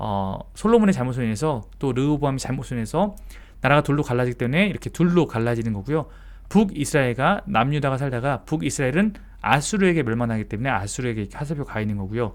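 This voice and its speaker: Lively in intonation and very fast, a man at a medium pitch talks in a very clean recording with a silent background. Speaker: pastor. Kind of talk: Bible study lecture.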